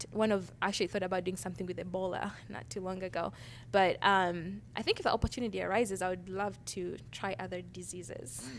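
With a Ugandan accent and some vocal fry, a woman speaks at a fairly quick pace and medium pitch, her pitch varying in an ordinary way over light background noise. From Uganda, Kampala. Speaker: design professor. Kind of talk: interview. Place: studio. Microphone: handheld.

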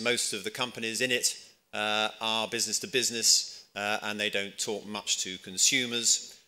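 Here a man is speaking. His tone is bright and sharp. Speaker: conference speaker. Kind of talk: conference talk. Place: hall. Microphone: podium.

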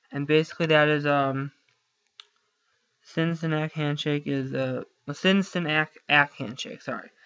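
Mumbling at a moderate pace, a man talks with fairly even intonation and a fairly high pitch. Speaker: student making IT tutorials. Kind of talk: screen-recorded tutorial. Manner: mumbling under breath; halting, many fillers.

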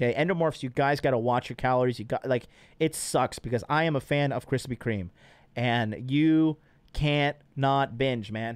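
An animated man's voice with ordinary pitch variation, dry sound with no echo, and a quiet background. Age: 30s. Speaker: dating and fitness coach hosting call-in show; fitness coach hosting call-in show. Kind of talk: live call-in show, casual. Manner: profane, brash. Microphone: studio mic.

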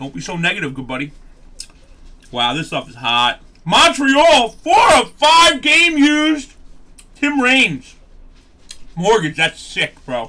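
A man with a high pitch projects his voice in a bright, sharp tone, swinging very widely in pitch. He speaks fairly slowly with long, frequent pauses over light background noise. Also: big swings in loudness. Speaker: card break host. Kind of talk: casual live stream chat. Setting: live stream, studio. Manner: loud, animated; excitable. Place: studio.

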